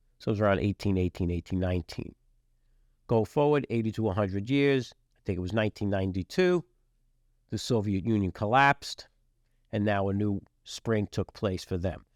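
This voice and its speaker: A man with an American accent talks at a fairly quick pace in a fairly low voice, leaving long, frequent pauses, on a very clean recording with a silent background and a dry, close sound with no echo. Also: ordinary pitch variation. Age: 60s. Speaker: podcast host, businessman and military veteran. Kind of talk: podcast monologue. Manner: casual, with frequent fillers.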